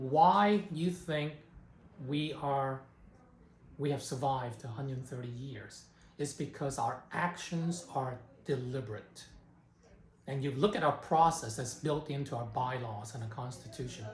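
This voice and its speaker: Pitched fairly high, a somewhat breathy man speaks at a fairly slow pace with ordinary pitch variation and long, frequent pauses, with audible room echo around him. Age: 60s. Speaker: community organization executive. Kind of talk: interview. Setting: organization headquarters in San Francisco.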